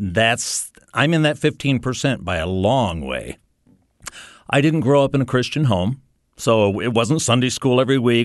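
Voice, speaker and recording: A man with an American accent speaks at a moderate pace and a medium pitch against a quiet background. His intonation is lively, with vocal fry. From US North. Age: 60s. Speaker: radio ministry staff and children's ministry volunteer. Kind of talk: testimony.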